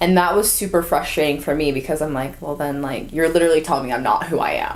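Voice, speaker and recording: In an American accent, a woman talks at a very fast pace with a very deep, low pitch and ordinary pitch variation. Audible room echo and noticeable background noise surround her. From US West Coast, Orange County, California. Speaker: content and marketing staff. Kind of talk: casual interview. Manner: casual, filler-heavy speech.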